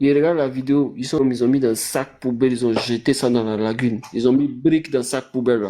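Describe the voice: Speaking fast at medium pitch, a man has a dark, mellow tone and fairly even intonation.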